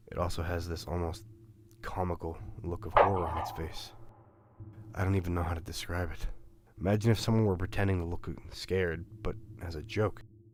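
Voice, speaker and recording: A man talks in a very deep, low voice with fairly even intonation and a somewhat breathy quality. He leaves long, frequent pauses. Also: fairly quick pace. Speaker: story narrator. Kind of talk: horror story reading.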